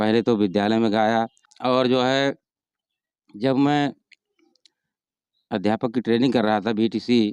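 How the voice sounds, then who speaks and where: Long, frequent pauses break up a man's medium-pitched speech, which has fairly even intonation, very even loudness and a dry, close sound with no echo. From Uttar Pradesh, Sultanpur district. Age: 60s. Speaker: retired headmaster and folk singer. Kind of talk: interview.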